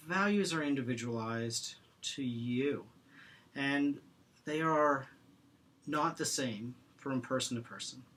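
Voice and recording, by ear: In a room with audible echo, a man at a medium pitch talks slowly with long, frequent pauses, a fairly bright tone and ordinary pitch variation.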